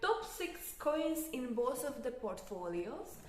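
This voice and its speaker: In a Hungarian accent, a woman speaks with very wide pitch swings amid audible room echo. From Hungary. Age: 20s. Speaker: crypto youtuber. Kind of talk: casual talk to camera. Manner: halting, non-native phrasing.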